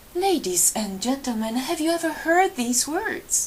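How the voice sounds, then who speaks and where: A woman speaks at a very slow pace with very wide pitch swings. Noticeable background noise runs underneath. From Poland. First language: Polish. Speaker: storyteller. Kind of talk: live storytelling. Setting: library event with audience.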